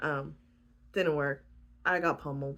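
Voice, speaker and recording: A woman with a very deep, low pitch. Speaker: vlogger. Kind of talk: casual chat.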